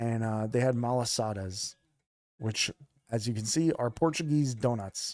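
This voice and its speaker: A man speaks at a moderate pace and medium pitch with ordinary pitch variation, in a dry, close recording with no echo, very clean, over a silent background. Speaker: streamer. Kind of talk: casual chat. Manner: loud; animated.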